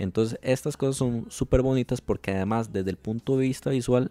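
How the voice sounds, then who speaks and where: Fairly even in intonation, a man with a Costa Rican accent speaks at a medium pitch. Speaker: wedding photographer and podcast host. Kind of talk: casual interview chat. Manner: halting, many repetitions and fillers.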